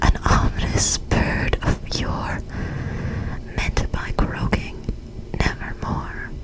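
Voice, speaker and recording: Long, frequent pauses break up a very slow whisper, with noticeable background noise behind it. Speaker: ASMR creator. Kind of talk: poetry reading; ASMR storytelling. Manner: whispered.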